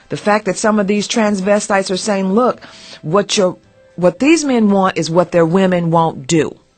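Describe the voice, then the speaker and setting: With music in the background, a woman talks at a moderate pace and medium pitch, her pitch varying in an ordinary way. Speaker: radio host. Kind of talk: morning radio talk show. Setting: studio. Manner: powerful, expressive.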